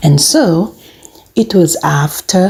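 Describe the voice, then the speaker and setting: A woman's fairly low voice at a very slow pace, with noticeable background noise. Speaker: news narrator. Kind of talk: news narration.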